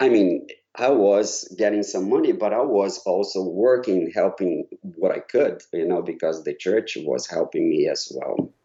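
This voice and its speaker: The speaker has a slight Brazilian accent. The pace is fairly slow. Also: man. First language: Portuguese. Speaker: choral conductor. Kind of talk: interview. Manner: halting, with repetitions.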